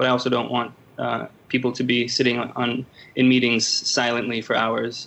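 There is noticeable background noise. A man with an American accent speaks at a medium pitch. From Los Angeles, US. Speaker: editor in chief, journalist. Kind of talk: interview. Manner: halting, many fillers and repeats.

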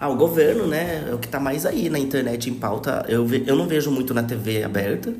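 A man's medium-pitched voice at a moderate pace, with ordinary pitch variation, hardly any pauses, audible room echo and noticeable background noise. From Brazil, São Paulo state (Taubaté). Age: 20s. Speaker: podcast guest. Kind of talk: casual chat.

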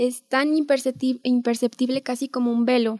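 Dry and close with no echo, a woman's high-pitched voice speaks in a monotone, flat intonation. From Mexico, Guadalupe, Zacatecas. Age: 20s. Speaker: economics student, essay prize winner. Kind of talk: interview.

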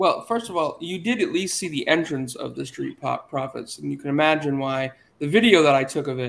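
Talking at a fairly quick pace with lively intonation, a man with an American accent and a plain, everyday voice is heard on a very clean recording with a silent background. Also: fairly high pitch for a man. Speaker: podcast host. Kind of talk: casual chat.

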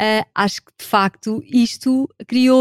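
High-pitched speech from a woman, close and dry, free of echo. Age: 40s. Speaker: sociologist and HR specialist. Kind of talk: casual chat.

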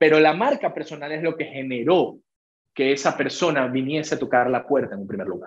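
A man with vocal fry talks at a fairly quick pace in a fairly high voice. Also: ordinary pitch variation. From Venezuela. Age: 20s. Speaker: entrepreneur and trader. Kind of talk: interview.

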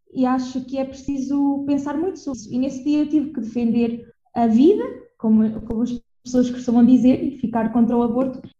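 In a room with audible echo, a woman speaks at a fairly quick pace with a high pitch and fairly even intonation. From Portugal, Viseu. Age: 20s. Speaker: podcast co-host, anthropology student. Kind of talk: casual chat.

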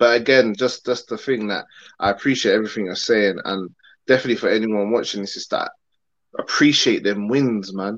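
A man's medium-pitched voice in a London accent at a fairly quick pace. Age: 30s. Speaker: film director. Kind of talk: casual interview. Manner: animated.

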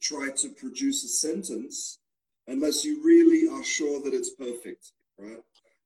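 In an Australian accent, a man speaks at a very slow pace. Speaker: English teacher. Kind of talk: casual interview. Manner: halting, repeats words.

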